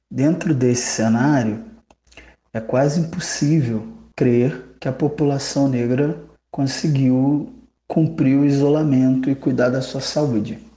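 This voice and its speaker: At a very slow pace, a man speaks in a dark, mellow tone that is somewhat breathy, with ordinary pitch variation and audible room echo. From Rio de Janeiro state, Brazil. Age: 30s. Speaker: public administrator and cultural museum head. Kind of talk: interview.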